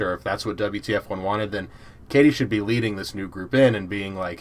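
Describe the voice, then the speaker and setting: A man with an American accent, an ordinary speaking voice, fairly low pitch and fairly even intonation. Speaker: podcast host. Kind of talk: casual chat.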